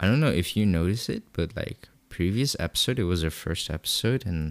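On a very clean recording with a silent background and a dry, close sound with no echo, the speaker moves at a fairly quick pace with lively intonation. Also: man. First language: not English. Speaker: podcast co-host. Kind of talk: casual chat.

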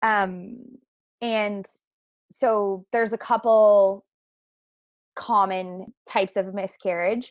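The speech is very slow and monotone, with long, frequent pauses. The recording is very clean, with a silent background. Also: woman, medium pitch for a woman. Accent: Canadian Maritime. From rural Nova Scotia, Canada. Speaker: naturopathic doctor. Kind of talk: interview conversation.

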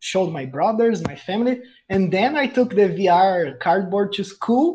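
High-pitched speech from a man with a Brazilian accent, lively intonation and a fairly slow pace. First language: Portuguese. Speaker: podcast co-host. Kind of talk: casual chat, podcast recording.

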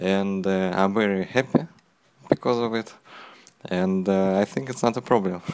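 A man talks at a fairly low pitch with ordinary pitch variation. His speech has long, frequent pauses. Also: moderate pace. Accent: Russian. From Russia. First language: Russian. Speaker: podcast host. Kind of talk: casual interview.

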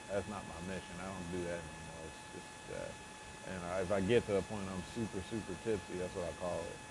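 Heard through noticeable background noise and audible room echo, a man with a very deep, low pitch talks at a fairly quick pace in a relaxed tone with ordinary pitch variation. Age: 20s. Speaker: solo podcaster. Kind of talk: casual monologue. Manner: relaxed, filler-heavy.

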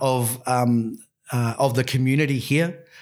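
A man with a New Zealand accent speaks very slowly in a flat monotone at medium pitch, in a very clean recording with a silent background. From New Zealand, Christchurch. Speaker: Māori education program leader. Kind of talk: casual interview. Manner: halting, many fillers.

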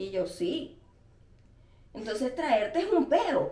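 A woman with a Venezuelan accent speaks in a high-pitched voice. Room echo can be heard. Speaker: podcast co-host. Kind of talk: casual chat.

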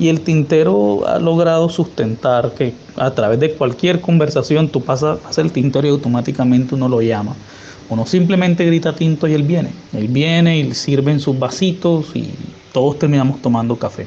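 A man talks with a fairly high pitch and ordinary pitch variation. Behind him, background noise is noticeable. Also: moderate pace. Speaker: coffee culture researcher. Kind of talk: interview.

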